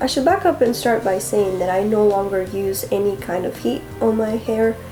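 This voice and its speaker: Lively intonation at a moderate pace comes through audible room echo, with music playing in the background. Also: woman. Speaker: beauty youtuber. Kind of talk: casual chat.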